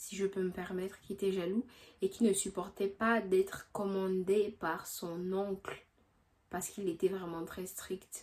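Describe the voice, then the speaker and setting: Monotone, flat delivery from a woman at a medium pitch. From Gabon. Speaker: history youtuber. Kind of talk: casual explanation; scripted narration.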